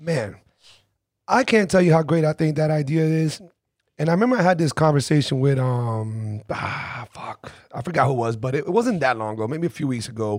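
Using an ordinary speaking voice, a man talks at a fairly quick pace and fairly high pitch with lively intonation. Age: 40s. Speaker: podcast host. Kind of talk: casual interview chat. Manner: laid-back, conversational.

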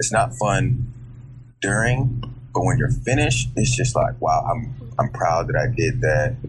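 Speaking at a fairly slow pace, a man holds fairly even intonation and very even loudness, with audible room echo around him. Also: medium pitch for a man. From grew up overseas. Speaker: personal trainer. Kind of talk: interview.

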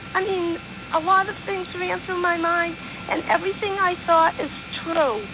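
The speaker goes at a fairly slow pace amid noticeable background noise. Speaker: caller. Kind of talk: casual chat. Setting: phone call.

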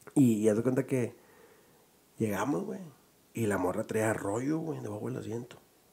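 A man's dark, mellow voice at a medium pitch, with lively intonation, vocal fry, a moderate pace and long, frequent pauses. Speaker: podcast host and comedian. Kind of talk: casual chat.

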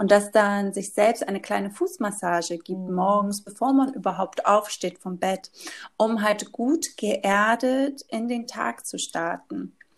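A woman talks very slowly, her medium pitch varying in an ordinary way. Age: 30s. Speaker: yoga teacher and essential oil consultant. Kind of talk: casual interview.

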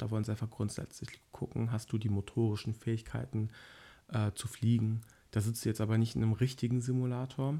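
A somewhat breathy man speaks at a medium pitch. His pace is fairly quick. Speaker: pilot trainee. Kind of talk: casual chat.

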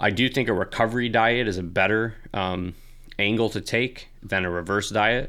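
Intonation stays fairly even at a moderate pace. The voice is an unremarkable speaking voice. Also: man, fairly low pitch for a man, very clean recording, silent background. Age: 20s. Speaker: fitness coach and podcast host. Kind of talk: casual Q&A monologue. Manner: frequent filler words, casual.

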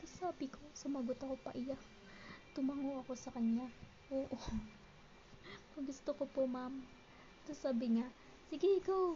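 Over noticeable background noise, a woman with a high pitch speaks with ordinary pitch variation and long, frequent pauses. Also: moderate pace. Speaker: podcast host. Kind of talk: personal storytelling.

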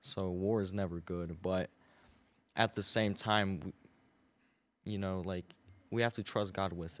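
A man speaks in a very deep, low pitch with monotone, flat intonation at a fairly slow pace, leaving long, frequent pauses, on a very clean recording with a silent background. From US, Belarus-born, moved at age two. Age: 19. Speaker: car detailer. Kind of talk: casual chat.

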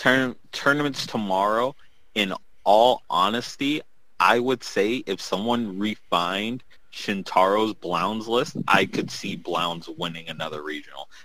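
Here is a man with an unremarkable speaking voice and a fairly low pitch. His intonation is lively. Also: fairly slow pace. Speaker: card game podcast co-host. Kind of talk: casual chat. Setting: video call.

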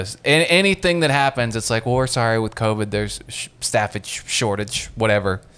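Fairly quick delivery against noticeable background noise. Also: man. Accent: American. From Ohio, Muskingum County. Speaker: comedian. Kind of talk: casual chat. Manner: odd syllable stress.

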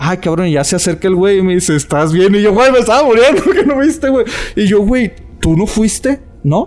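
Over noticeable background noise, a man with a Mexican accent talks at a fairly quick pace in a high pitch, with very wide pitch swings but very even loudness. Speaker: podcast co-host. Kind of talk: casual chat. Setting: cemetery.

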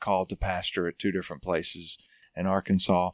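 A man with a Southern US accent and a very deep, low pitch, talking at a fairly quick pace in a dry, close sound with no echo on a very clean recording with a silent background. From North Alabama. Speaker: pastor. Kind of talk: casual chat.

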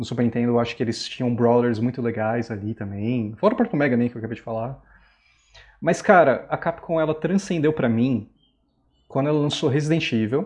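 A man speaks at a fairly quick pace in an ordinary speaking voice, medium in pitch. His pitch variation is ordinary, and the background is quiet. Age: 30s. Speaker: guest gamer. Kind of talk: casual chat.

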